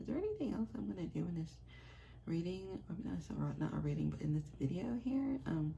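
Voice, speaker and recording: A woman's voice with audible room echo. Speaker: psychic medium. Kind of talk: casual vlog. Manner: soft-spoken; halting, many fillers.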